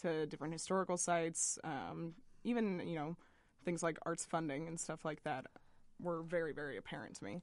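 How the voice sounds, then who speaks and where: Here is a woman with a plain, everyday voice and an American accent. She talks at a fairly quick pace, fairly low in pitch with ordinary pitch variation. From Boston, US. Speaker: arts editor and journalist. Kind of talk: radio interview. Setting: radio studio.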